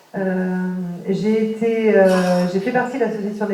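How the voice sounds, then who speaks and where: A woman's medium-pitched, monotone voice, flat in intonation, over noticeable background noise with audible room echo. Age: 40s. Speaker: local election candidate, secretary. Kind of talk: campaign meeting self-introduction. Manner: halting, many hesitations.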